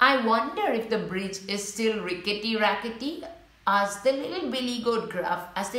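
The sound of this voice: Unforced reading voice, its pitch varying in an ordinary way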